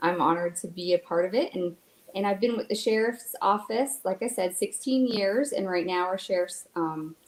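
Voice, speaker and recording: A woman's medium-pitched voice with a slight Canadian accent. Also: ordinary pitch variation, moderate pace. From Canada. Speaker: victim advocate. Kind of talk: panel interview.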